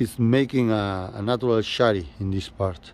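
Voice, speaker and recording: With a Spanish accent, a man talks at a fairly slow pace in a medium-pitched, dark and mellow tone, his pitch varying in an ordinary way. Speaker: bonsai nursery owner. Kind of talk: casual guided tour to camera.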